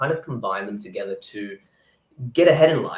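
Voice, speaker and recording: A man talks at a fairly quick pace. His voice is medium in pitch and somewhat breathy. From New Zealand. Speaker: pro physique athlete and sports nutritionist. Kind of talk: interview. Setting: live video chat.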